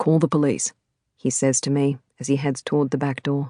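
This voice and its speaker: With an Australian accent, a woman with a very deep, low pitch and a dark, mellow tone speaks at a moderate pace in a dry, close sound with no echo over a quiet background. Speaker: audiobook narrator. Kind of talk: audiobook narration of a thriller novel.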